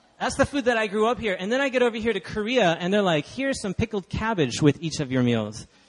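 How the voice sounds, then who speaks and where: Very fast talk from a high-pitched man in an American accent, lively in intonation with hardly any pauses, amid noticeable background noise. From Texas (Dallas). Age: 20s. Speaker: guest preacher. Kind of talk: sermon. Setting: church.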